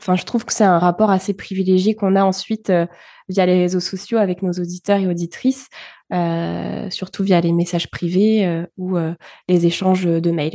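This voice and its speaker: A woman speaks in a medium pitch with a dark, mellow tone. The background is quiet. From France, early childhood in Bulgaria. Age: 20s. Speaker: podcaster. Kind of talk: interview. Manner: hesitant, many fillers.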